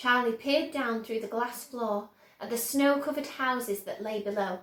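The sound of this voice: Audible room echo surrounds a woman speaking at a fairly slow pace, her fairly high pitch showing ordinary variation.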